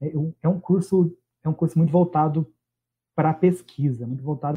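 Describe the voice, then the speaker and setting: A man talks at a fairly high pitch. His intonation stays fairly even. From Minas Gerais, Brazil. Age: 30s. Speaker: biologist and environmental consultant. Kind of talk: casual interview chat.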